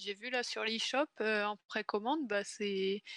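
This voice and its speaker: A woman speaks at a fairly slow pace in a fairly high pitch with fairly even intonation, the sound dry and close with no echo. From northern France, Pas-de-Calais. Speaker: guest co-host of a video game stream. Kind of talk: casual chat.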